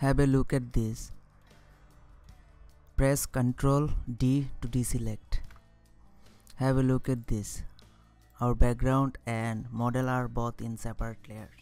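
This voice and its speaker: With music in the background, a speaker with a non-native accent talks very slowly, leaving long, frequent pauses. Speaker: software tutorial narrator. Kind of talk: screen-recording tutorial narration.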